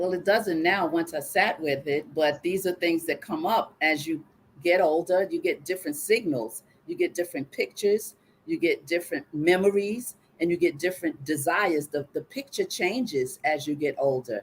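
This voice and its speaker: Speaking at a moderate pace, a woman uses a fairly low pitch with ordinary pitch variation in an ordinary speaking voice. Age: 60s. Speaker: guest sharing personal story on live show. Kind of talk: live call-in coaching conversation.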